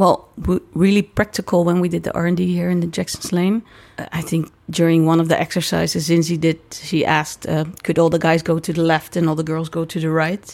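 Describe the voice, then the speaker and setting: Speaking in a Dutch accent, a woman with a fairly low pitch talks at a fairly quick pace in a monotone, flat intonation with hardly any pauses. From Netherlands. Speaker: circus director. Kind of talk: interview. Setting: dressing room.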